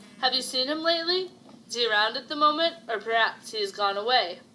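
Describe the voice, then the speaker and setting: Using a put-on character voice, a woman talks very fast in a raspy, high pitch with lively intonation. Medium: read story.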